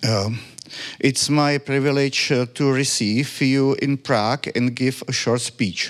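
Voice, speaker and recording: In a Czech accent, a man of medium pitch speaks at a very slow pace with fairly even intonation and very even loudness, amid noticeable background noise. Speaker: city official. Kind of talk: reading aloud. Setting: stage with audience. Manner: halting.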